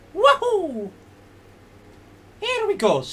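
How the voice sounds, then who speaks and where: This is a put-on character voice. The pitch sits extremely high. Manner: cheerful, excited.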